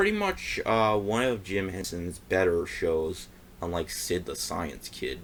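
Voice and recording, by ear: A man speaks at a fairly slow pace. His pitch is low.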